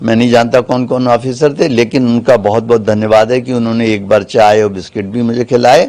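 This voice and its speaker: Intonation is monotone and flat. A dark, mellow tone carries the voice. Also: man, medium pitch for a man, moderate pace, hardly any pauses. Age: 70s. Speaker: lawyer. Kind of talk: media interview.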